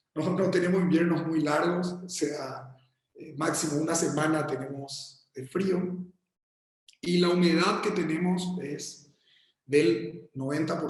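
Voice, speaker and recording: In a room with audible echo, a man with a fairly high pitch speaks very slowly, with big swings in loudness and ordinary pitch variation. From Paraguay. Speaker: architect. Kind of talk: lecture. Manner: halting, many repetitions and fillers.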